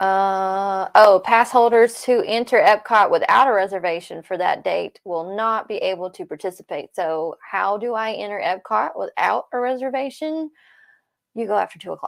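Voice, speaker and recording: On a very clean recording with a silent background and a dry, close sound with no echo, a woman with an unremarkable speaking voice talks at a moderate pace, fairly high in pitch, with ordinary pitch variation. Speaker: Disney news livestream co-host. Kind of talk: casual chat. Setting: livestream.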